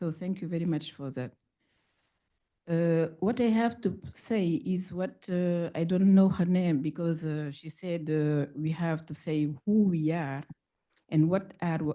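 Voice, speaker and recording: With a French accent, a woman talks at a fairly slow pace against a quiet background. Her dark, mellow tone sits fairly low in pitch, with ordinary variation. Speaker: audience member asking a question. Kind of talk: audience question at conference. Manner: halting.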